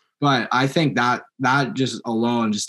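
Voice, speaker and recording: A man of medium pitch with a western Canadian accent and ordinary pitch variation. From Langley, British Columbia, Canada. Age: 20s. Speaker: mountain biker and electrician. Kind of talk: casual interview.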